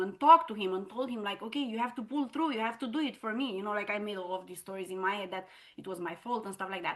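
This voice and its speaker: A woman speaks at a medium pitch with ordinary pitch variation. Her pace is very fast, with a non-native accent. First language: not English. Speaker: entrepreneur. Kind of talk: interview testimony. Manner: casual, filler-heavy.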